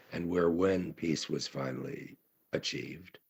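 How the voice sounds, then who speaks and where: A very deep, low-pitched man with vocal fry at a moderate pace. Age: 70s. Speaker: conference speaker, writer. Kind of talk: conference talk. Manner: halting, many fillers.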